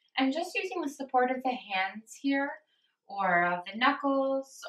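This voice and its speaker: A woman speaks at a very slow pace with ordinary pitch variation. Audible room echo fills the quiet background. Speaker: yoga instructor. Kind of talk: guided yoga class. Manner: slow, calm. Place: home room. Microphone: camera far.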